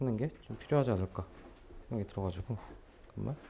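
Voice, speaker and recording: A man speaks in a dark, mellow tone at a fairly low pitch. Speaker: math tutor. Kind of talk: lecture. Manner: fast.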